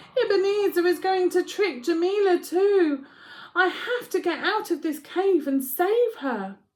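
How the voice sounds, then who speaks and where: Projecting loudly in a put-on character voice, a woman talks at a moderate pace, squeaky and extremely high in pitch. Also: ordinary pitch variation. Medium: read story.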